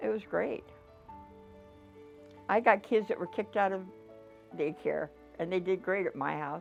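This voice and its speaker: A woman with an American accent speaks fairly quickly in a fairly low voice, with music in the background. Her pitch variation is ordinary. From Dakotas, US. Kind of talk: life story interview answer.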